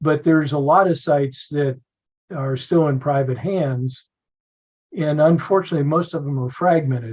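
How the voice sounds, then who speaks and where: A man in an American accent talks at a moderate pace. His voice is somewhat breathy and fairly high in pitch. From Philadelphia, Pennsylvania. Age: 70s. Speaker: battlefield preservation advocate, retired Air Force officer. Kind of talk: podcast interview.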